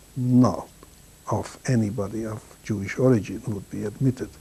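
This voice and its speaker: Dark and mellow in tone, a man's voice sits at a medium pitch. He talks at a fairly slow pace with fairly even intonation. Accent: Hungarian. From Hungary, Kaposvár. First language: Hungarian. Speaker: Holocaust survivor. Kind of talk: testimony. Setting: filmed interview.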